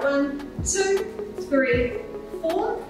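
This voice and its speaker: Strong room echo and clear music in the background accompany a woman's voice. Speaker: pilates instructor. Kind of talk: workout class instruction. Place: empty room.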